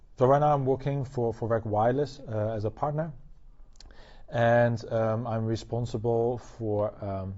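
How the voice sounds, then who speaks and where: The man's pitch is medium and his pace is fairly slow. He speaks with a Dutch accent. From Netherlands. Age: 20s. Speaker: tech company partner. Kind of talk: interview. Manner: halting, many fillers.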